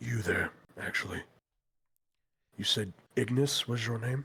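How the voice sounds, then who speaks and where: A man's raspy put-on character voice at a medium pitch. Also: moderate pace. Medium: actual play. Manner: measured, thoughtful, slightly formal.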